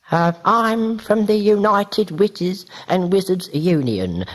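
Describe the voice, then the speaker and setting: Delivered in a put-on character voice, the speech moves at a fairly slow pace and sits at a middle pitch. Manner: put-on funny voice, unconvincing.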